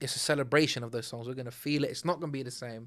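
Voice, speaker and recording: An animated man at a medium pitch, talking at a very fast pace, in a very clean recording with a silent background. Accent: British. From Britain. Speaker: R&B singer. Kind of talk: casual interview.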